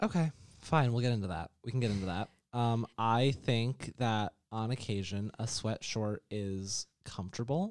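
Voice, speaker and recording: With an American accent, a man talks at a fairly slow pace in an unremarkable speaking voice, medium in pitch with ordinary pitch variation, in a dry, close sound with no echo. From New York. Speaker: podcast co-host. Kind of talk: casual chat.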